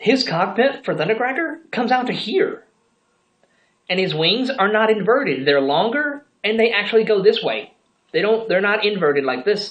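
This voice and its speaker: Her fairly high voice carries vocal fry, and this woman's pitch swings very widely. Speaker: toy collector vlogger. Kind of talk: casual vlog review. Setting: bedroom. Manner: hyper, excitable; stumbling, repeats words.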